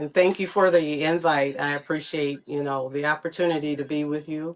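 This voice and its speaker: A woman with an American accent, very deep and low in pitch with ordinary pitch variation, at a moderate pace. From Jackson, Michigan. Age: 60s. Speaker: community public servant. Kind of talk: interview. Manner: halting, many fillers.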